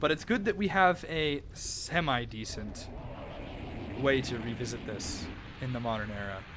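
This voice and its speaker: Quiet and with long, frequent pauses, a man's voice makes very wide pitch swings. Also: medium pitch for a man, moderate pace. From USA. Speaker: video game streamer. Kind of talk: live stream chat.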